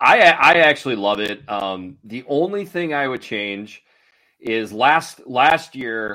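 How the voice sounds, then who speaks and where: Speaking at a fairly slow pace, a man uses a medium pitch and a normal speaking voice. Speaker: sports gambling analyst. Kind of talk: casual sports betting chat. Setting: phone call.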